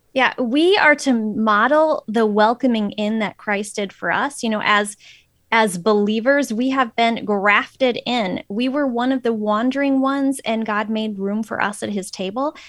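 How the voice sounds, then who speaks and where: Here a woman has an unremarkable speaking voice and an American accent, pitched fairly high. She speaks at a fairly slow pace with ordinary pitch variation. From Phoenix, Arizona. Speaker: author. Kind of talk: interview.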